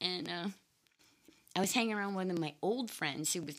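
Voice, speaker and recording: Speaking with an American accent, a woman talks at a fairly quick pace with vocal fry. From Maine, US. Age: 50s. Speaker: interview guest sharing life story. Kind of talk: casual interview chat.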